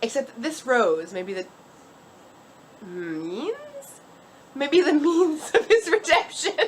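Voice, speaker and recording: With long, frequent pauses and a very slow pace, a woman speaks at a high pitch with very wide pitch swings amid noticeable background noise. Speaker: storyteller. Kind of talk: drunk storytelling. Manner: halting, self-correcting.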